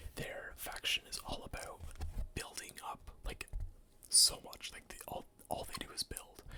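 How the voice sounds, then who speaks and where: Every word comes out in a whisper. The delivery is fairly slow. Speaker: ASMR content creator. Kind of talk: ASMR collection showcase, casual talk to camera. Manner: soft-spoken, conversational.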